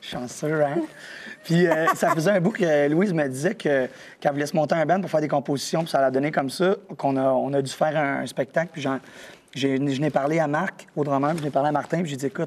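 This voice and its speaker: Speaking at a fairly quick pace, the man has a fairly high pitch. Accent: Quebec. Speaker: rock band musician. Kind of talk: TV interview. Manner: casual, animated.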